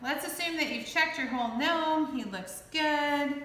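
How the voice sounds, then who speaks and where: Over light background noise and audible room echo, a woman's raised, projected voice has a bright, sharp tone and ordinary pitch variation. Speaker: clay art instructor. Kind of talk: tutorial. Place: workshop. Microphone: camera far.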